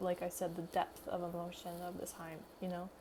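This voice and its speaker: Noticeable background noise is present. Through it, a woman speaks at a moderate pace. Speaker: YouTuber, language learner. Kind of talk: casual chat. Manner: halting, many fillers. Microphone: poor audio quality.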